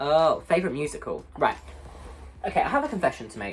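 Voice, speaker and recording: Over noticeable background noise, a man with a southern English accent talks at a fairly quick pace. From southern England, Portsmouth. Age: 20s. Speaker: YouTuber, musical theatre student. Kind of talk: casual vlog chat. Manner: loud; rambling.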